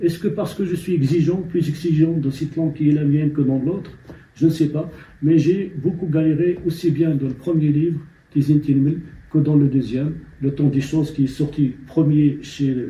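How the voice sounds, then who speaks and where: A man speaks at a moderate pace in a fairly high pitch, his tone dark and mellow, somewhat breathy, with fairly even intonation. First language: Amazigh (Berber) (speaking French). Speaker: novelist. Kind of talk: interview. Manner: halting.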